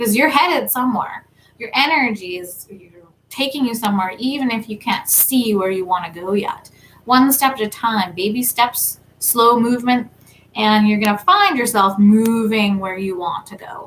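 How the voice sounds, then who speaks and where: She has an ordinary speaking voice, fairly high in pitch, with ordinary pitch variation at a moderate pace. Her loudness swings widely. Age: 30s. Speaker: tarot reader and spiritual content creator. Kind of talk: live stream talk. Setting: livestream. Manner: casual.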